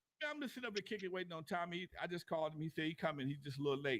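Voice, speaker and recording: A man is captured in a very clean recording against a silent background. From US West Coast. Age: 60s. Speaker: podcast host. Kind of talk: casual chat. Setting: livestream. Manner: animated.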